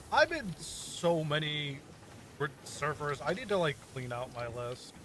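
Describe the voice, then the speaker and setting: A man talks fairly slowly at a fairly high pitch, with ordinary pitch variation. Noticeable background noise runs behind him. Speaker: streamer. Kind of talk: casual chat. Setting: live stream. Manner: mumbling.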